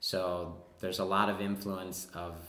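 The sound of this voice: In a Wisconsin accent, a man speaks at a low pitch with a fairly bright tone. His pace is fairly slow. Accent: Wisconsin, American Midwest.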